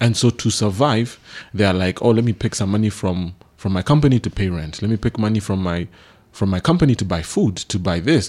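A fairly low-pitched man at a fairly quick pace, ordinary pitch variation, on a very clean recording with a silent background. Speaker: business consultant and co-host. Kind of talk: radio talk about business. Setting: studio radio broadcast. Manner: hesitant, with many fillers.

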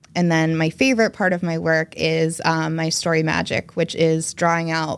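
A woman with an American accent has an unremarkable speaking voice, fairly low in pitch, with fairly even intonation at a moderate pace. The recording is very clean, with a silent background. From New Jersey, US. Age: 30s. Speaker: journalist. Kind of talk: casual chat.

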